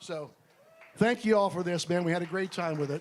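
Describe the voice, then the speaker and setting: Lively intonation runs through this man's speech. He talks at a fairly quick pace. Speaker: bandmate. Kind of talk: memorial tribute speech. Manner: fast.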